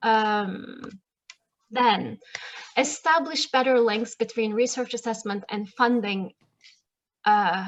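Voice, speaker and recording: The woman's voice is fairly high in pitch, with ordinary pitch variation. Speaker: research policy analyst. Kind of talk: conference talk. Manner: fast.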